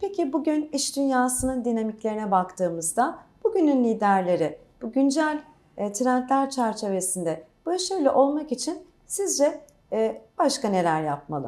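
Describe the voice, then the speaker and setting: Her pitch is high and swings very widely. The woman's tone is dark and mellow. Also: moderate pace. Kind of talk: formal interview. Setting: on-site interview with crew.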